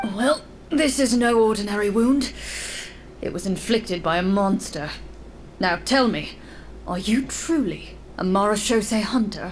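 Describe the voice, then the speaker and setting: A gruff, female-sounding put-on character voice at a medium pitch moves at a moderate pace with long, frequent pauses over clear background noise. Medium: game stream. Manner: gruff, suspicious.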